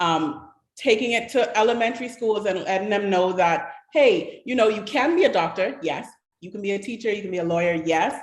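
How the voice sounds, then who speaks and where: The voice moves at a fairly quick pace with lively intonation, and the room echo is audible. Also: woman, medium pitch for a woman. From Bahamas. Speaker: panelist on creative industries. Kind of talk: panel discussion. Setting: online livestream hangout.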